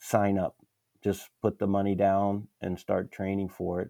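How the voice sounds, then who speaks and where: This man has a fairly low voice with a dark, mellow tone. He speaks at a fairly slow pace. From Pennsylvania. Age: 50s. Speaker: amateur triathlete. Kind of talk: casual interview chat.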